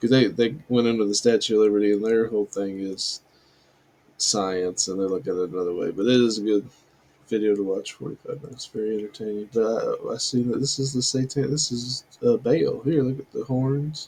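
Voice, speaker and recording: Mumbling at medium pitch, a man uses a dark, mellow tone with ordinary pitch variation. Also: fairly quick pace. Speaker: religious video commentator. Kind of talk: casual commentary.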